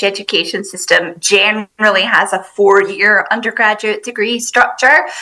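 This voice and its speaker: A woman with a Scottish accent speaks at a fairly high pitch with hardly any pauses. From Scotland. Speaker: university international recruitment staff. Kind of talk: podcast interview.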